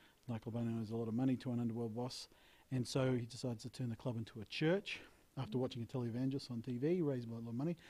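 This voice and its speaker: Delivered at a very fast pace in an Australian accent, the voice has a dark, mellow tone and fairly even intonation. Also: man, medium pitch for a man. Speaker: actor and film director. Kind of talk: interview.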